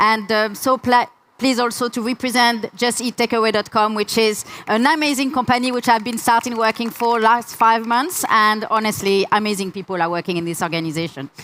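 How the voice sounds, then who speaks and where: The speaker talks with a French accent and ordinary pitch variation. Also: woman. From France. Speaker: UX researcher, conference speaker. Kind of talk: conference talk. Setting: stage with audience.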